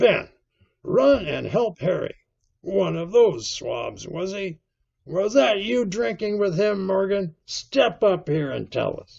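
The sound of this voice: Doing a put-on character voice, a man speaks slowly at a high pitch with big pitch swings, a slightly mellow tone, a slightly husky edge and vocal fry.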